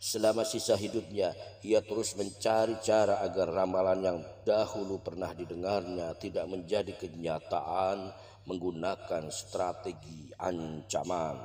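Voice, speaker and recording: A man speaks with a very deep, low pitch and a dark, mellow tone. His delivery is fairly slow, with fairly even intonation. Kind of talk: religious story narration (prophet stories).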